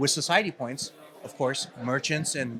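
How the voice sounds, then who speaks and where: A man's fairly high pitch, with a Californian accent and ordinary pitch variation. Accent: California. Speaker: company CEO. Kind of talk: interview. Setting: event floor. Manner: hesitant, many fillers.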